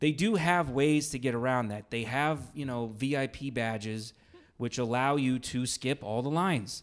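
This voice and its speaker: A man speaks with an unremarkable speaking voice at a medium pitch, using ordinary pitch variation at a moderate pace, in a very clean recording with a silent background. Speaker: podcast host. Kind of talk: casual chat. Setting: recording in an Airbnb room.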